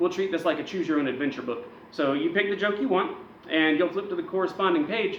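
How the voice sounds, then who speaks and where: A man speaks at a very fast pace in a high pitch, his tone animated and his intonation lively. Audible room echo and noticeable background noise surround him. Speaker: wrestling news show host. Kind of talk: comedic wrestling news monologue. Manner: loud.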